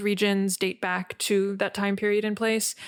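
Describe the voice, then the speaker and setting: Over a very clean recording with a silent background, a woman with an American accent speaks at a medium pitch in a monotone, flat intonation. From West Virginia, Appalachia. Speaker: actor and director. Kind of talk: podcast interview. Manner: hesitant, many fillers.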